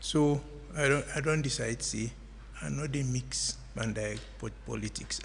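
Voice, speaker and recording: Speaking with a Sierra Leonean accent at a fairly slow pace, a man is heard over noticeable background noise. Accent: Sierra Leonean English with Krio. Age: 70s. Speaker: political commentator. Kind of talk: radio interview.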